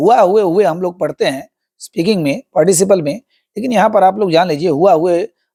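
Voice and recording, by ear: Reading aloud in a natural voice, with ordinary pitch variation, over a quiet background.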